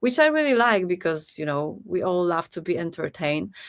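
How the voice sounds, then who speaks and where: A woman is speaking. She has a Polish accent. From Poland. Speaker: singer. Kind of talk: interview.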